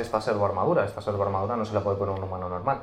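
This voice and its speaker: A man's fairly low voice, with fairly even intonation, carries audible room echo. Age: 20s. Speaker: Warhammer lore content creator. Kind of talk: casual interview chat. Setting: game store.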